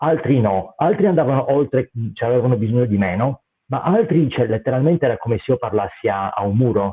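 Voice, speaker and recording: Speaking at a fairly quick pace, a man uses lively intonation. His pitch sits at a medium level. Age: 50s. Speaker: martial arts instructor and mental coach. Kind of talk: interview. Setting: live stream. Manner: halting.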